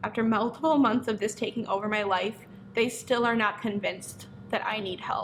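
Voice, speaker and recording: Using a normal speaking voice, a woman pitched fairly high talks at a moderate pace with fairly even intonation. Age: 20s. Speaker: hair stylist and business owner. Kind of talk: personal testimony to camera.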